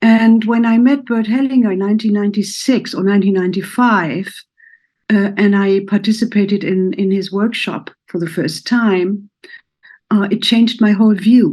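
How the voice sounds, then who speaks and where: Her tone is dark and mellow, at medium pitch for a woman. She speaks at a moderate pace with ordinary pitch variation. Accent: German. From Germany. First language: German. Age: 70s. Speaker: therapist. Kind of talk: personal introduction talk. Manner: halting.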